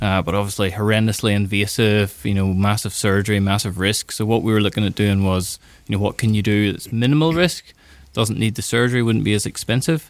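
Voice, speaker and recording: This is a normal speaking voice moving at a fairly quick pace with ordinary pitch variation. The recording is very clean, with a silent background. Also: man, fairly low pitch for a man. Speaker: doctor and neuroscience researcher. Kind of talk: explaining, interview. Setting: studio.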